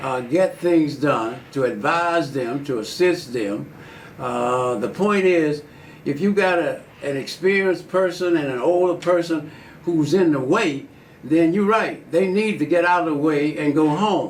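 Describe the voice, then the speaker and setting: Fairly slow speech in an Alabama accent, with ordinary pitch variation and audible room echo. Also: man, fairly high pitch for a man. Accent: Southern US (Alabama). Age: 80s+. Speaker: politician. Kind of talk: interview. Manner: halting.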